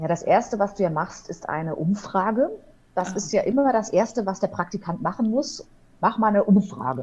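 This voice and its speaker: Her voice is a plain, everyday voice, medium in pitch for a woman. She moves at a fairly quick pace with lively intonation. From Ruhr area, Germany (Hamm). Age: 30s. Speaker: wedding officiant and radio presenter. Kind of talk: casual interview. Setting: online call.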